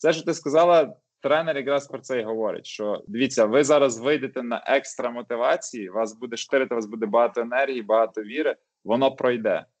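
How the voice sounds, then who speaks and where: A man with a medium pitch has an unremarkable speaking voice. He talks at a fairly quick pace with ordinary pitch variation. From western Ukraine, Lviv. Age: 30s. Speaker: IT project manager. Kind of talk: casual chat.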